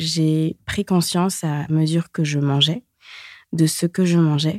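An unremarkable speaking voice moves at a fairly slow pace with ordinary pitch variation, recorded very cleanly against a silent background with a dry, close sound and no echo. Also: woman. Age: 30s. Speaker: singer-songwriter and recovered anorexia patient. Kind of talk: personal testimony interview.

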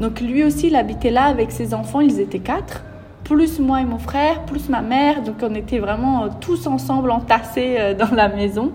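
Music plays in the background as a woman speaks with audible room echo. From Brazil. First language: Portuguese (speaking French). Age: 20s. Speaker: entrepreneur. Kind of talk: interview. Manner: animated.

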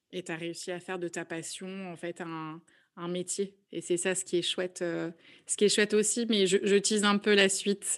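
Over a quiet background, a woman talks at a moderate pace in a monotone, flat delivery, her loudness swinging widely. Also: medium pitch for a woman. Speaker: podcast host. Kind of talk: interview.

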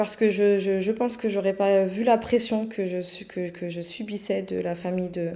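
A woman speaks at a moderate pace and medium pitch with a dark, mellow tone. Her intonation is fairly even. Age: 30s. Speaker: nail technician and local councillor. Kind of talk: personal testimony interview. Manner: hesitant, frequent fillers.

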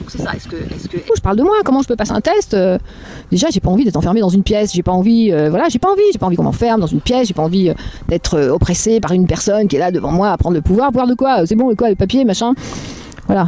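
A woman speaks at a very fast pace with medium pitch and lively intonation. Her loudness swings widely, and background noise is noticeable. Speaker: author and video creator on giftedness. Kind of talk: recorded phone conversation. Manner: fast, dominating, interrupting.

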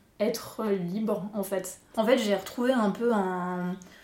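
The speaker is a woman with a medium pitch. She keeps her intonation fairly even. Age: 20s. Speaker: interview guest, artist. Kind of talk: casual interview, personal story.

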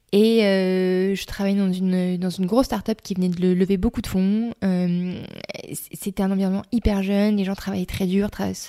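In a very clean recording with a silent background, a woman talks at a fairly quick pace in a dark, mellow tone with fairly even intonation. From eastern France, Reims. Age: 30s. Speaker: school founder and director. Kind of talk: interview. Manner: hesitant, many fillers.

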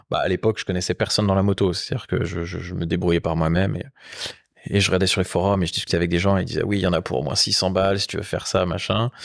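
Speaking at a very fast pace with fairly even intonation, the voice comes through on a very clean recording against a silent background. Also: man. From Rennes, Brittany, France. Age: 30s. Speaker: motorcycle workshop co-owner. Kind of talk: casual chat. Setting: motorcycle workshop.

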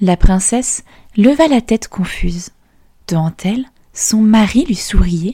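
A woman speaks very slowly in a dark, mellow, warm and gentle tone, somewhat breathy, with lively intonation broken by long, frequent pauses. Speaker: podcast storyteller. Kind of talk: fairy-tale narration for children. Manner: animated storyteller, voicing dialogue with changing tone; warm, gentle, clear pacing.

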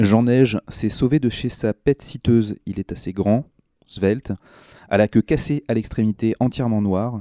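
The tone is dark and mellow, with a dry, close sound and no echo. The recording is very clean, with a silent background. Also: man, medium pitch for a man, ordinary pitch variation, fairly slow pace. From Brittany, France (Brest). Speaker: food columnist. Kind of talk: casual chat. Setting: studio.

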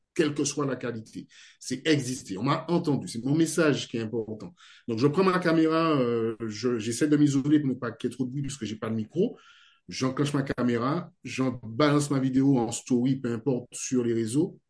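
This man has an unremarkable speaking voice, medium in pitch, moving at a moderate pace with ordinary pitch variation. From French Guiana. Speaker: video editor and video trainer. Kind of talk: interview.

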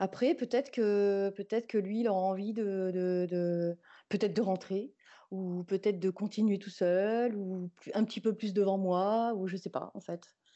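A woman at medium pitch, fairly slow, with fairly even intonation. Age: 50s. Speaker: newborn photographer. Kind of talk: interview. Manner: halting.

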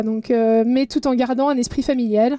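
A woman's high voice with fairly even intonation and noticeable background noise. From Belgium. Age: 30s. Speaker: professional triathlete. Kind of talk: interview.

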